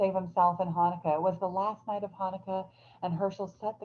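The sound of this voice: This is an unforced reading voice. Nothing more is marked.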